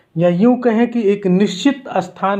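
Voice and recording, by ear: A man talks at a fairly slow pace in a slightly mellow tone with ordinary pitch variation.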